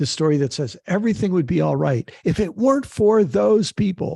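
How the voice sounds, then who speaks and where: Against a quiet background, a man with a dark, mellow tone sounds somewhat breathy at a moderate pace. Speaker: author, activist and theologian. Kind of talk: interview answer.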